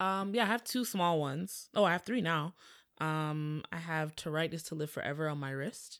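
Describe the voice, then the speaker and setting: A woman with a Toronto accent speaks at a moderate pace, her very deep, low pitch showing ordinary variation. The recording is very clean, with a silent background. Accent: Canadian (Toronto) English. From Toronto, Canada. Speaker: writer and content creator. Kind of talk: casual chat. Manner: hesitant, many fillers.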